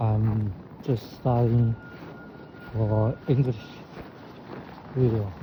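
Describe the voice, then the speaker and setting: Over noticeable background noise, a man with a Chinese accent speaks at a very slow pace with long, frequent pauses. His medium-pitched voice stays monotone and flat. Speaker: vlogger. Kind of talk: casual vlog talk. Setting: outdoors. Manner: halting.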